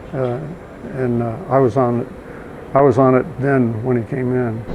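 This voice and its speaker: At a moderate pace, a man talks at a medium pitch with fairly even intonation, and the recording has audible room echo and noticeable background noise. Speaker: retired nuclear engineer. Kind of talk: casual interview chat. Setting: conference workshop.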